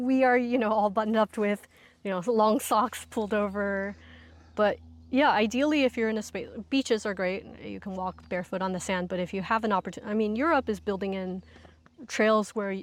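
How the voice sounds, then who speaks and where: On a very clean recording with a silent background, a woman with an unremarkable speaking voice talks at a fairly high pitch with ordinary pitch variation. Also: fairly quick pace. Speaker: ecotherapy instructor. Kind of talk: casual interview conversation. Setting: outdoors.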